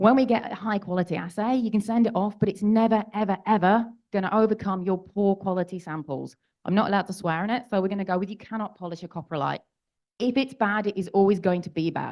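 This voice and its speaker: A woman delivers her words at a very fast pace with fairly even intonation. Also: medium pitch for a woman. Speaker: geologist giving a conference talk. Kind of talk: lecture.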